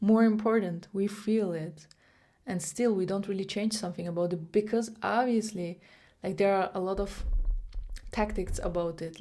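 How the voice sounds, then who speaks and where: With a non-native accent, a woman speaks at a moderate pace in a dark, mellow tone with fairly even intonation, on a very clean recording with a silent background. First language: not English. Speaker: vlogger. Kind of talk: motivational monologue to camera. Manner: many fillers and restarts.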